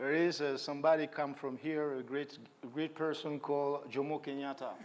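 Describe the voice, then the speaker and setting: A man speaks with a West African accent, his pitch fairly high. His intonation is monotone and flat. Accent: French-speaking West African. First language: French. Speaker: hip-hop artist and activist. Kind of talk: panel interview. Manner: halting.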